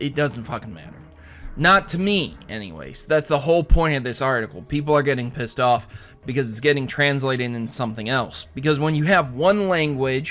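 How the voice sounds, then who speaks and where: A man with an American accent and a fairly high pitch speaks at a fairly quick pace, with lively intonation and big swings in loudness. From US. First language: German. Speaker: gaming news youtuber. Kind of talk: casual news commentary.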